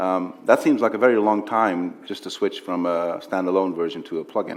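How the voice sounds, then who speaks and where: Speaking at a fairly quick pace, a man talks with a Dutch accent. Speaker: interviewer. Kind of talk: on-stage interview. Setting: stage with audience.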